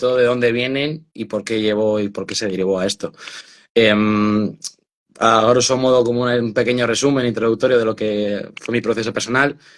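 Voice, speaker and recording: Medium pitch, moderate pace and fairly even intonation in a man's voice. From Spain, Burgos. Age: 20s. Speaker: author and mental health activist. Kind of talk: interview testimony. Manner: hesitant, many fillers and repetitions.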